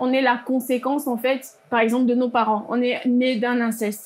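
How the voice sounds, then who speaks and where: A high-pitched female voice. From Gabon. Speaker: panelist. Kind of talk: panel discussion. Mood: serious, calm. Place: studio. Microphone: lapel.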